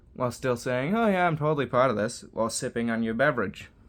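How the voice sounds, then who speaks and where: An ordinary speaking voice moves at a fairly quick pace. The recording is very clean, with a silent background. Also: man. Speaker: opinion vlogger. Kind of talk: solo opinion monologue.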